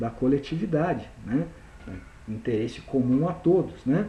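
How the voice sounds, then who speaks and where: With vocal fry and a dark, mellow tone, a man speaks fairly slowly in a fairly high voice with lively intonation, heard with audible room echo. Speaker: university lecturer. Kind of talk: recorded lecture.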